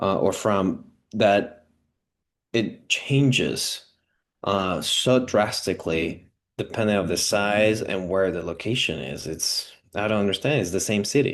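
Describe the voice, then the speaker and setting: A man's fairly low pitch with a Spanish accent, a fairly slow pace and ordinary pitch variation. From Venezuela. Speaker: immigrant renter sharing housing story. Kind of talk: personal testimony interview. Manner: halting, many fillers and restarts.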